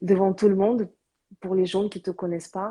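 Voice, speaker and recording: Over a silent background in a very clean recording, a woman speaks with a dark, mellow tone at medium pitch. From born outside Korea, third-generation Korean. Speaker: live stream host, cosmetics business owner. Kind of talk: casual live interview. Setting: Instagram live. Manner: hesitant, many fillers.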